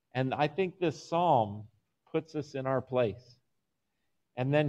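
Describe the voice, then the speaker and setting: In an American accent, a man speaks at a fairly slow pace. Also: quiet background. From Phoenix, Arizona; Arizona. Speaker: pastor. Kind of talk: Bible study. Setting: church hall with online viewers. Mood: calm, teaching. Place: home room. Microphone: video call.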